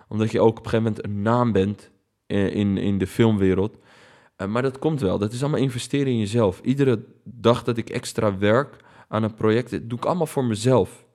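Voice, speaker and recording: Very clean recording with a silent background of a man at medium pitch, dark and mellow in tone, with fairly even intonation and a fairly quick pace. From Netherlands, of Palestinian family. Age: 30s. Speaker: documentary maker. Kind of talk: interview.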